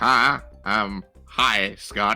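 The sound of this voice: A man does a raspy, put-on character voice. Faint music plays in the background.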